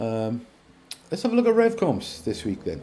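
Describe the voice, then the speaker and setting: A man's dark, mellow voice with a British accent. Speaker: car competition vlogger. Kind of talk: casual commentary video. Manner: hesitant, many fillers. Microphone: poor audio.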